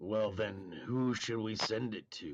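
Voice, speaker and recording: A man puts on a character voice at a fairly low pitch. His pace is fairly slow. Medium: actual play. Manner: formal, measured.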